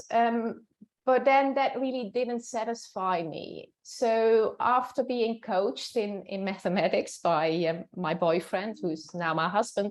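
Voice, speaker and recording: A woman speaks very slowly in a Dutch accent. Her fairly high voice has lively intonation. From Netherlands. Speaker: professor. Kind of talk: interview. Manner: hesitant, with fillers.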